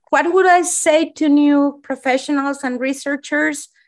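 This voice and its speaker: Speaking at a moderate pace, a woman with a high pitch talks with a Spanish accent. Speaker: pediatrician and eating disorder program director. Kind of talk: interview.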